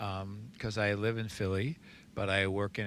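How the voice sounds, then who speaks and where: A man with an American accent speaks at a moderate pace and a fairly low pitch in a bright, sharp tone, in a very clean recording with a silent background. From New Jersey. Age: 60s. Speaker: recovery sponsor. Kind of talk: casual podcast interview.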